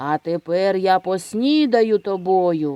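Over a quiet background, a put-on character voice growls at a middle pitch and a fairly slow pace. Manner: gloating growl.

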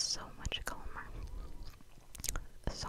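A soft-spoken woman is whispering over loud background noise. The sound is dry, with no echo. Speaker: ASMR creator. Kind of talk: casual vlog chat, soft ASMR ramble. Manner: close soft whisper into microphone. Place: home room. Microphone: studio mic.

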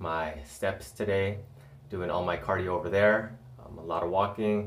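This man's voice sits very deep and low, his intonation fairly even. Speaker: fitness vlogger. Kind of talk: casual vlog chat. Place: bathroom. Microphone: phone near.

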